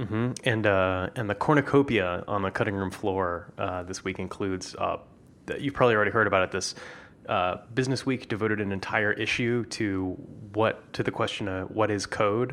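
A man's normal speaking voice, fairly low in pitch, at a moderate pace with fairly even intonation. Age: 40s. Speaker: podcast host. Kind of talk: casual chat.

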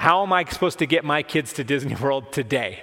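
A man speaks at a fairly quick pace with a fairly high pitch. He has an ordinary speaking voice and ordinary pitch variation. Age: 40s. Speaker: pastor. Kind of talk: sermon.

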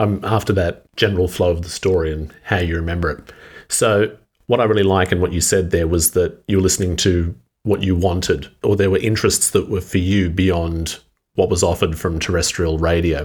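Very deep and low, a man's voice is somewhat breathy with fairly even intonation at a fairly quick pace. The recording is very clean with a silent background. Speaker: interviewer podcast host. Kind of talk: interview conversation.

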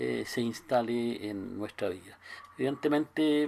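The man speaks in a normal speaking voice at a medium pitch, with ordinary pitch variation. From Chile, Concepción. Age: 60s. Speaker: pastor. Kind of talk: interview.

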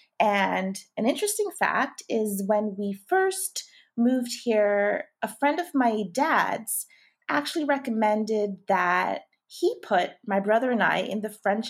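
A woman in a Canadian accent, fairly high-pitched with lively intonation and a fairly slow pace, in a normal speaking voice on a very clean recording with a silent background. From Toronto, Canada. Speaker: tutoring company founder. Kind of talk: interview.

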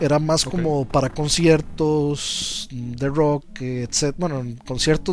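Over noticeable background noise, a man with a Costa Rican accent speaks at a very slow pace, using a fairly high pitch and fairly even intonation. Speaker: video game commentator. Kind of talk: casual chat.

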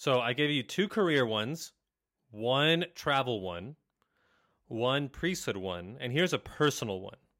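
This man's pitch ranges very widely. His speech unfolds at a fairly slow pace. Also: medium pitch for a man. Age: 30s. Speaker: Jesuit priest and doctoral student. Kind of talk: casual chat.

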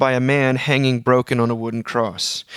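A man with a normal speaking voice, medium pitch and a fairly quick pace, on a very clean, dry, close recording with no echo and a silent background. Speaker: podcast host. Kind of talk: casual chat.

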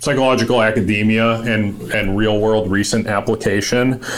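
With an American accent, a man speaks at a fairly low pitch and a moderate pace. His intonation is monotone and flat, with noticeable background noise. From US Northeast (Massachusetts). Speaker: podcast host and military veteran. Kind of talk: casual interview chat.

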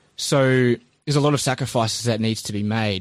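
A man speaks at a medium pitch with a New Zealand accent. The recording is very clean, with a silent background. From New Zealand, Christchurch. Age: 30s. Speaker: army veteran and small business owner. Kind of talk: interview, casual.

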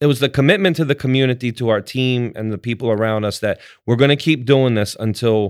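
A man with an American accent and a plain, everyday voice, at a fairly quick pace with ordinary pitch variation. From Baltimore, Maryland. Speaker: restaurant owner. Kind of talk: interview.

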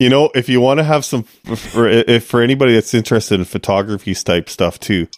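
A man speaks with a Canadian accent at a fairly quick pace, in an ordinary speaking voice with ordinary pitch variation. The sound is dry and close with no echo, in a very clean recording over a silent background. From Canada. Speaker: podcast host. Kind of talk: casual chat.

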